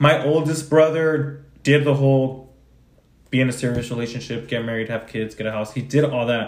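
This man has a plain, everyday voice at a medium pitch. He speaks at a moderate pace with fairly even intonation. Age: 20s. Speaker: podcast co-host. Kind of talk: casual chat.

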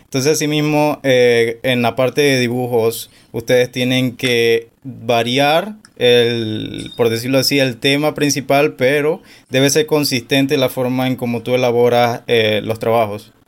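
A man speaks at a fairly slow pace, at a medium pitch. His intonation stays fairly even. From Panama. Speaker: podcast host. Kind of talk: interview.

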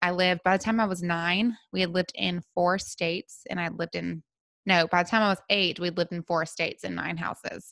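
Fairly quick, monotone speech with flat intonation in a Southern US accent, dry and close with no echo, in a very clean recording with a silent background. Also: woman, fairly low pitch for a woman. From US South, Memphis, Tennessee. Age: 30s. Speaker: wellness podcast host. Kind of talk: solo podcast monologue.

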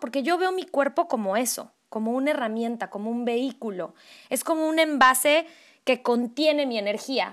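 A woman speaks with a high pitch and lively intonation. The recording is very clean, with a silent background. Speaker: podcast co-host, voice professional. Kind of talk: casual chat.

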